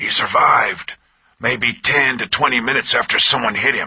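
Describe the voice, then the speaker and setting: Using a put-on character voice, a man growls in a raspy tone at a medium pitch. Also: moderate pace. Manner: matter-of-fact.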